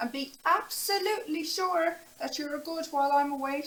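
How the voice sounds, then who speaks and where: A woman performs a put-on character voice at an extremely high pitch. She keeps a moderate pace. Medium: read story. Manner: scolding, exasperated.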